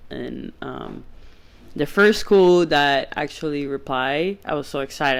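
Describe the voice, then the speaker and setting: Someone speaks at a very slow pace with a Spanish accent. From Venezuela. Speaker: podcast guest, former soccer goalie. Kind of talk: casual chat. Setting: at home.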